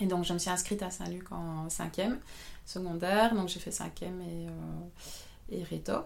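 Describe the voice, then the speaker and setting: Audible room echo hangs around a woman speaking at a medium pitch and a fairly slow pace. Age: 30s. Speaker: photographer. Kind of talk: interview. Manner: hesitant, many fillers.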